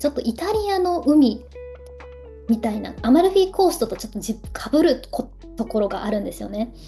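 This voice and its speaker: A woman's voice with music in the background. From Ehime, Shikoku, Japan. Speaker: Japanese language teacher and culture vlogger. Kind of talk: casual talk to camera.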